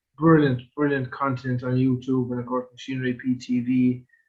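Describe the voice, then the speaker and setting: A man speaks at a fairly quick pace in a medium pitch. His voice is somewhat breathy, and his intonation stays flat and monotone. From Ireland, Kerry/Limerick. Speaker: podcast host. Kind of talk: podcast interview.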